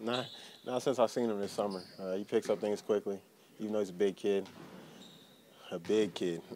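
Over light background noise, a man with a fairly low pitch and a dark, mellow tone speaks at a fairly quick pace with fairly even intonation, leaving long, frequent pauses. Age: 20s. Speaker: basketball player. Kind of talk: press interview. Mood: relaxed, upbeat. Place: hall.

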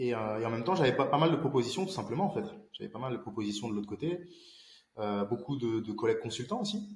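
Amid audible room echo, a man at medium pitch talks at a very fast pace with very wide pitch swings. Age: 20s. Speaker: independent IT infrastructure consultant; interview guest. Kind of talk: casual interview. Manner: halting, many fillers and repetitions. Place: home room.

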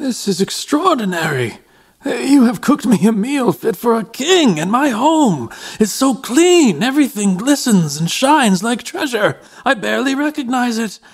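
At a moderate pace, a man speaks with an extremely high pitch. His pitch swings very widely. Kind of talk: audio drama. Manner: gentle, fearful, grateful.

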